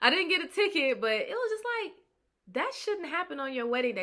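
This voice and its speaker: A woman's upbeat, bright, sharp tone with lively intonation, in a very clean recording with a silent background. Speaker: public speaking coach, world champion public speaker. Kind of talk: personal confessional story to camera. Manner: conversational, candid, upbeat.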